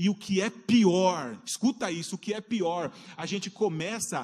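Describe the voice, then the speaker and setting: Speaking at a fairly slow pace, a man talks in an animated tone. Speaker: preacher. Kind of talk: sermon. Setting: church. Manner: animated, fervent preacher in full flow, calling out to the congregation; rising, exhortative cadence with rhetorical questions and repeated 'queridos'. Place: church.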